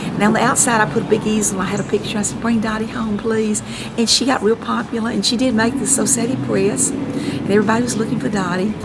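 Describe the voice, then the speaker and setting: In a Southern US accent, a woman with a fairly high pitch speaks very fast with hardly any pauses and ordinary pitch variation, amid noticeable background noise and audible room echo. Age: 60s. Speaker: local artist and columnist. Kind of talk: casual storytelling during a home tour. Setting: at her home. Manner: animated.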